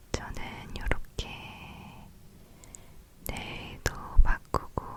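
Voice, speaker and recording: Whispered words come out at a very slow pace against noticeable background noise. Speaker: ASMR creator. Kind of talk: casual ASMR talk to camera. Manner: soft-spoken.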